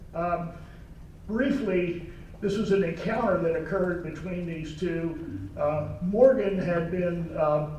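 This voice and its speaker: A man speaks very slowly in a high pitch with ordinary pitch variation. Noticeable background noise and audible room echo fill the recording. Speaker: lawyer and retired naval officer. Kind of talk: talk at a meeting. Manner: soft-spoken.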